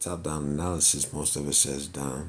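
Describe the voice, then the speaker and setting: A man with a very deep, low pitch speaks with vocal fry and fairly even intonation. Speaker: trading instructor. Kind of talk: tutorial. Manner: casual.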